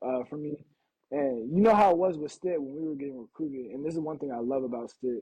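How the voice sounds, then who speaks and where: A man talks with an American accent and an unremarkable speaking voice. His pitch is fairly high, with ordinary variation. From Portland, Oregon. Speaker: professional football player. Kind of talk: casual interview. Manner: casual, filler-heavy.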